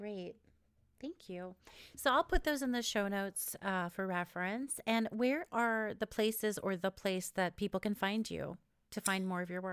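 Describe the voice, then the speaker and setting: A plain, everyday voice with an American accent, at a moderate pace with ordinary pitch variation, dry and close with no echo. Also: woman, medium pitch for a woman. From New York and Israel. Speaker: podcast host and author. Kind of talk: podcast interview; scripted narration. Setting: remote call.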